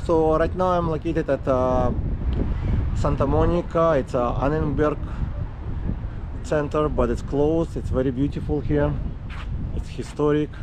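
Against noticeable background noise, a man speaks at a moderate pace with very even loudness and long, frequent pauses. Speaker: e-bike vlogger. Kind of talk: casual vlog chat. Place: beach. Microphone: phone near.

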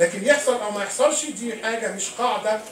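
This man's voice is pitched high and moves at a moderate pace with ordinary pitch variation. There is light background noise and audible room echo. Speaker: lecturer. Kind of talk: lecture. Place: hall.

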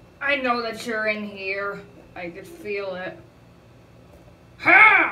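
Using a cartoonish character voice, a woman speaks at a very slow pace and medium pitch. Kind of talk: comedic puppet skit. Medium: puppet show. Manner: confused then gleeful.

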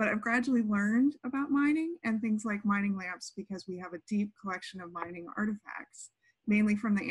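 A woman talks at a fairly quick pace, somewhat breathy, with ordinary pitch variation. The sound is dry with no echo, and the background is quiet. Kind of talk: lecture. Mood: friendly, delighted. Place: home room. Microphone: webcam.

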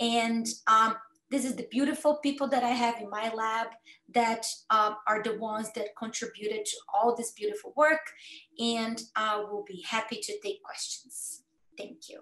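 With a Brazilian accent, a woman talks in a fairly high, bright and sharp voice, her intonation fairly even but her loudness swinging widely, with audible room echo over a quiet background. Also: moderate pace. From Brazil, Campinas (São Paulo state); São Paulo state, Brazil. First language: Portuguese. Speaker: cancer researcher. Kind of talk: educational talk. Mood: warm, personal storytelling. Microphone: video call.

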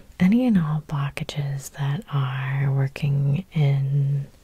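In a soft-spoken, gentle tone, a woman with a very deep, low pitch talks with fairly even intonation in a dry sound with no echo. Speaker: hypnotherapist. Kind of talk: soothing guided hypnosis meditation with repetitive induction. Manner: soft-spoken, gentle and slow; hypnotically repetitive, drawn-out phrasing. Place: home room.

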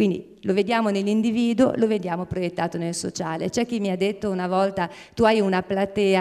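Over a quiet background, a woman speaks at a moderate pace and medium pitch. Her tone is dark and mellow, with fairly even intonation. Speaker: nonprofit scientific director. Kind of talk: formal presentation. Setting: theatre stage with audience. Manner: hesitant, frequent fillers. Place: stage. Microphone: handheld.

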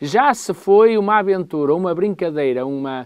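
Against a quiet background, the speaker uses lively intonation at a moderate pace. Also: man. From Portugal. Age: 50s. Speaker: political commentator. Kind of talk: political commentary. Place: studio. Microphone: lapel.

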